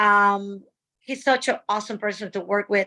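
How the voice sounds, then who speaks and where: A woman speaks in a Dominican accent with a bright, sharp tone. The recording is very clean, with a silent background. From Dominican Republic. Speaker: stunt woman and actress. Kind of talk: interview.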